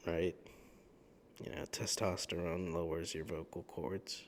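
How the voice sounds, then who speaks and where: A man's very deep, low voice with vocal fry, at a very slow pace. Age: 20s. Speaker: YouTuber. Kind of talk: sleep talk monologue. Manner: calm, mundane tone; hesitant, many fillers. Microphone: new better microphone.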